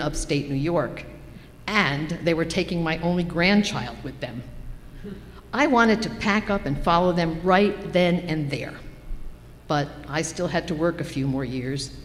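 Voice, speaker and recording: There is noticeable background noise and audible room echo. A woman at a fairly low pitch speaks fairly slowly, with ordinary pitch variation and long, frequent pauses. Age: 70s. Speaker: church member giving a personal reflection. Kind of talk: personal reflection read in a worship service. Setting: church service.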